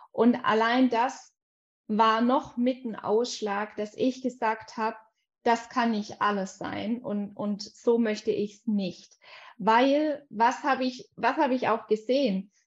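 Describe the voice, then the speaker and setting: Against a quiet background, a woman speaks very slowly at a fairly high pitch, her intonation fairly even but her loudness swinging widely. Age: 20s. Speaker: life coach. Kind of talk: casual chat.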